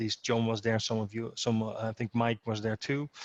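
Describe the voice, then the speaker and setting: The speaker is a man with a Dutch accent. His pitch is medium. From Netherlands. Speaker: security association president, guest speaker. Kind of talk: speech to an association meeting. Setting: video call. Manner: halting, many repetitions and fillers.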